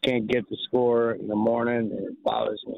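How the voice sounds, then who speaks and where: At a moderate pace, a man with a Chicago accent speaks at a medium pitch. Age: 70s. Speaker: caller. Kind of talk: sports radio call-in. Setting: phone call.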